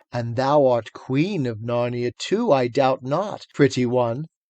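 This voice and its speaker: A put-on character voice from a man, medium-pitched and fairly slow in pace. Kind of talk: archaic, old-fashioned. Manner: coaxing, half-mocking.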